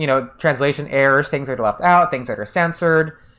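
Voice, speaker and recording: At a moderate pace, a speaker talks with an American accent. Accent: American accent when speaking Japanese. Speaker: game streamer. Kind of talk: casual livestream chat. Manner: hesitant, many fillers and restarts.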